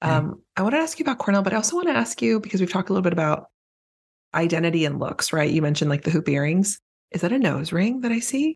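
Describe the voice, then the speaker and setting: Talking at a very fast pace, a woman with a medium pitch and a somewhat breathy voice swings her pitch very widely while keeping her loudness very even. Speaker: podcast host. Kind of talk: casual chat.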